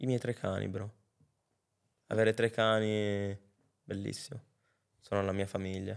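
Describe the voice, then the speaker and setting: Monotone, flat intonation from a man with a fairly low pitch, in a quiet background. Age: 20s. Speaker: rapper; podcast guest. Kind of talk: casual chat. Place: studio. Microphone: studio mic.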